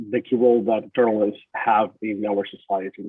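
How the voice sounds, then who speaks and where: Speaking with a Spanish accent, this man moves along at a moderate pace. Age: 30s. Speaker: journalist. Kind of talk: webinar talk. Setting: webinar.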